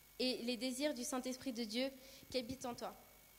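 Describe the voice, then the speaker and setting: A moderate pace amid noticeable background noise. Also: woman. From Brazil. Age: 20s. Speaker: church youth leader and nursing student. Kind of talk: sermon with personal testimony.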